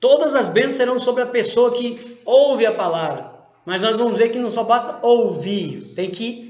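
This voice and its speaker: A man with an extremely high pitch speaks at a fairly slow pace with ordinary pitch variation. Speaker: Bible teacher. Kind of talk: Bible study lesson.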